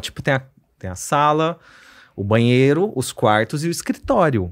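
A man with a slight Mato Grosso accent speaks at a moderate pace and a fairly high pitch, with very wide pitch swings. The background is quiet. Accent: slight Cuiabá accent, noticeable in the R. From Cuiabá, Mato Grosso, Brazil; Mato Grosso, Brazil. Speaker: psychiatrist; podcast guest. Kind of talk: casual interview chat. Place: studio. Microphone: studio mic.

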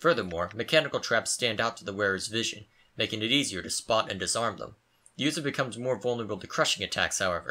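Reading aloud in a natural voice, the speaker keeps a lively intonation.

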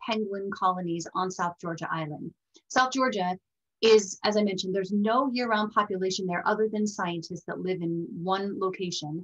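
Against a quiet background, a woman talks at a moderate pace in a somewhat breathy voice. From Colorado, US. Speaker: presenter. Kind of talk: webinar presentation. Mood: warm, enthusiastic. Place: home room. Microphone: video call.

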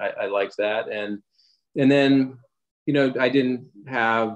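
This man has an unremarkable speaking voice, talking at a moderate pace with fairly even intonation. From US Mid-Atlantic, Wilmington, Delaware. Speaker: screenwriter. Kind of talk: interview.

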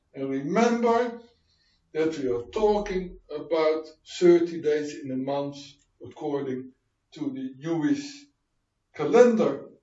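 A man with a fairly high voice speaks at a very slow pace, leaving long, frequent pauses. His loudness swings widely, and the room echo is audible. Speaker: preacher, Bible teacher. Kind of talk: sermon, Bible teaching. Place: home room.

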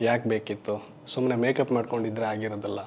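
In a mid-range pitch, a man speaks flatly and in a monotone. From Karnataka, Shivamogga district; Karnataka. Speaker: film makeup artist turned actor. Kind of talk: interview monologue. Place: studio. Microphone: lapel.

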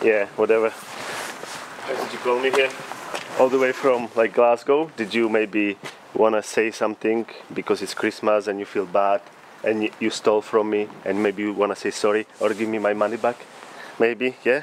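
An ordinary speaking voice, a man at a fairly low pitch with fairly even intonation and a moderate pace, dry with no echo, over light background noise. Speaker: comedy vlogger. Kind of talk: casual vlog chat, comedic sketch.

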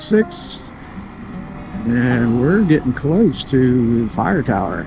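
A man speaks at a very slow pace. Clear music plays in the background. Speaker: motorcycle rider vlogger. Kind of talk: casual ride commentary. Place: motorbike. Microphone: helmet.

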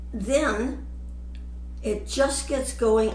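A woman talks over light background noise, with audible echo from the room. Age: 90s. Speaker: vlogger. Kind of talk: casual chat. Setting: at home. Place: home room.

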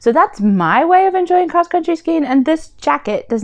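A woman's pitch swings very widely, and the background stays quiet. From not from Sweden, from a warmer climate. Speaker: YouTuber and blogger on minimalism; YouTuber, blogger on minimalism. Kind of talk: casual vlog talk to camera. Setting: at home, living room. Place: home room. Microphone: lapel.

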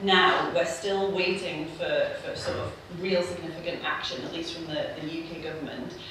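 Speech at a moderate pace comes through noticeable background noise and strong room echo. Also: woman. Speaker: political economist. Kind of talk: panel discussion. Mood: earnest, frustrated. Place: hall.

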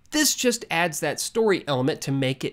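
A man speaks at a fairly slow pace with very wide pitch swings. Behind him the background is quiet. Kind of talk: tutorial. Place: home room. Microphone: webcam.

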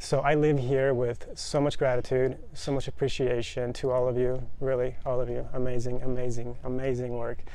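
In a General American accent, a man speaks at a moderate pace with hardly any pauses, his intonation monotone and flat, in a dry recording with no echo. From Colorado, US. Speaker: retreat participant; guest. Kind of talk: testimony. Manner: hesitant, many fillers. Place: garden. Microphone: lapel.

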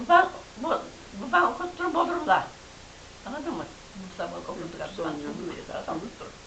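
A woman's high voice at a moderate pace, with very wide pitch swings, big swings in loudness, long, frequent pauses and noticeable background noise. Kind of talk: oral history interview answer.

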